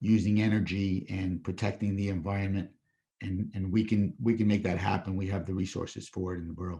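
A man's fairly low, somewhat breathy voice, dark and mellow in tone, flat and monotone in intonation, at a fairly quick pace. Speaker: public commenter at council meeting. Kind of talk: public comment. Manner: halting.

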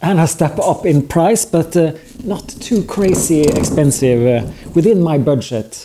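A man's intonation is lively as he talks at a fairly slow pace. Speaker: hobby maker reviewing a machine. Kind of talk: casual vlog chat. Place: garage.

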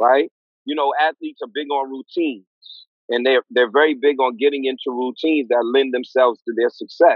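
Speaking fairly quickly in a New York accent, a man keeps his intonation fairly even, with a dry sound with no echo and a quiet background. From East New York, Brooklyn; Brooklyn, New York. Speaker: clinical psychologist; guest, educator. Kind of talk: interview. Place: home room. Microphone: video call.

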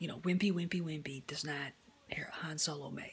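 A woman with a very deep, low pitch speaks at a fairly quick pace in a somewhat breathy voice. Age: 50s. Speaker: YouTuber film commentator; movie fan vlogger. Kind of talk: opinion rant. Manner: animated. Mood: annoyed, critical. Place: home room. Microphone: phone near.

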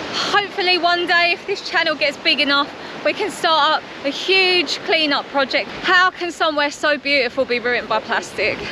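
Over noticeable background noise, a woman with an extremely high pitch and ordinary pitch variation speaks at a moderate pace with very even loudness, the sound dry with no echo. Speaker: travel vlogger. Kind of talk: casual vlog chat. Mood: sad, concerned about plastic. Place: beach. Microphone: phone near.

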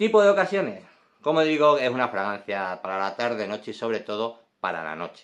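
Fairly quick speech from a man, quiet surroundings behind. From Spain. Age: 40s. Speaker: perfume reviewer. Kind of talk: product review video; casual review vlog. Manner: casual, frequent fillers. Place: home room. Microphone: phone near.

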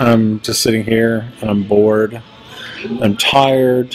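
Faint music sounds in the background. A man speaks in a monotone with flat intonation. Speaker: vlogger. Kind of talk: casual vlog chat. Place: shop. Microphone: phone near.

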